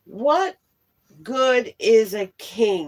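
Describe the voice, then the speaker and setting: A woman's put-on character voice, fairly high in pitch, with very wide pitch swings. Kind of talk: bedtime story. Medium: read story. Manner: complaining.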